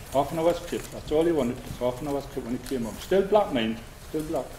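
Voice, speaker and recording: A man speaks with a Northumbrian accent over noticeable background noise. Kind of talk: reminiscence storytelling.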